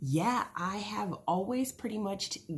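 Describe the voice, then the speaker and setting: Somewhat breathy, a woman talks at a very slow pace with very wide swings in pitch. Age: 30s. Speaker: vlogger. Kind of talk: casual vlog. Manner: hesitant, many fillers.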